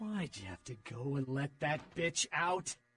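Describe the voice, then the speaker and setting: A man puts on a character voice. His pitch sits fairly high, and he speaks at a fairly slow pace. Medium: video game. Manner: sardonic.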